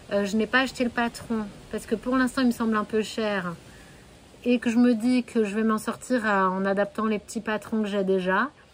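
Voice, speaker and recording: With fairly even intonation, a woman keeps to a moderate speed. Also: fairly high pitch for a woman. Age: 30s. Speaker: sewing podcaster. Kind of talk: casual podcast monologue. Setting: home, with her hens nearby. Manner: hesitant, many fillers.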